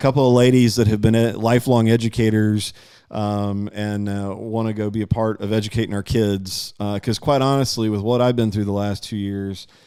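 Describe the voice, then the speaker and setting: In a very clean recording with a silent background, a man with an Alabama accent talks at a fairly quick pace in a dark, mellow tone, his fairly low pitch held in a monotone, flat intonation. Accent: Southern US (Alabama). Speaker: local political interviewer. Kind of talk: casual interview livestream. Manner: loud; halting, many fillers.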